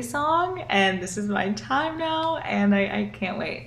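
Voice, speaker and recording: A woman with an American accent and very wide pitch swings, plus noticeable background noise and audible room echo. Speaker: singer-songwriter. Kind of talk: casual interview chat.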